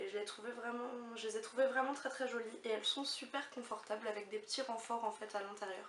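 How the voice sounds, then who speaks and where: Through noticeable background noise and audible room echo, a woman speaks at a fairly high pitch with fairly even intonation. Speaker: beauty and fashion vlogger. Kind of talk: haul video chat. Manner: hesitant with many fillers.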